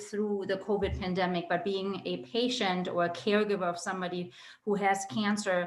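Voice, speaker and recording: Speaking with a German accent, this voice keeps a fairly even intonation. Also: woman. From Germany (Berlin). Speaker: medical oncologist. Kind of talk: educational webinar talk. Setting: video call.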